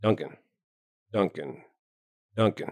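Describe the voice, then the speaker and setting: A man does a put-on character voice that sounds raspy. The sound is dry and close, with no echo. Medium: read story. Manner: sardonic, scornful.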